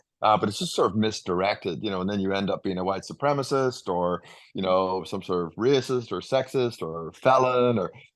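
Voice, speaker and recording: A man with a slight Northern Irish accent at a fairly quick pace, ordinary pitch variation, and a quiet background. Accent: subtle Northern Irish. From Northern Ireland. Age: 50s. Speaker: leadership coach. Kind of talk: interview answer.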